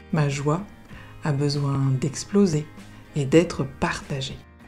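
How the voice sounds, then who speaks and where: A woman's very deep, low voice, calm and fairly even in intonation, at a very slow pace over background music. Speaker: therapist and coach. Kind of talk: positive affirmations recording. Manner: calm, slow.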